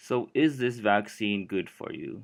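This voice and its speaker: Speech at a fairly slow pace with ordinary pitch variation comes through a very clean recording with a silent background. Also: man. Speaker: student. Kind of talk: educational explainer narration. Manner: unenthusiastic.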